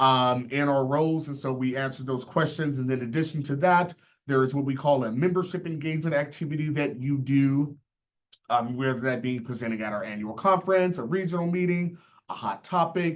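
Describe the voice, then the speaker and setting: A man at a fairly high pitch and fairly quick pace, with ordinary pitch variation. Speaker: association leader / university chief of staff. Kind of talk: panel discussion on video call. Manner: fast.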